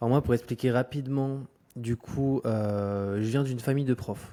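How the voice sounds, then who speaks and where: This man has a medium pitch and a dark, mellow tone, with fairly even intonation. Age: 20s. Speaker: entrepreneur and YouTuber. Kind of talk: podcast interview. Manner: hesitant, many fillers.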